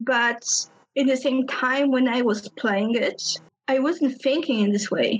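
A woman with a Polish accent, high in pitch, at a fairly slow pace, with ordinary pitch variation and very even loudness. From Poland. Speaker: game designer. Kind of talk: interview.

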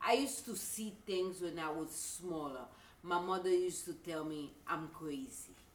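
A woman's fairly low voice carries audible room echo. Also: moderate pace. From Haiti. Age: 50s. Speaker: voodoo priestess. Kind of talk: interview. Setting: shop.

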